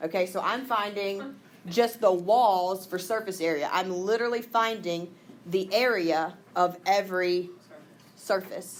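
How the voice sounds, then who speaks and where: In a Southern US accent, a woman speaks at a medium pitch and a fairly slow pace, with ordinary pitch variation and audible room echo. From Mississippi. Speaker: math teacher. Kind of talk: classroom lesson. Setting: classroom with students.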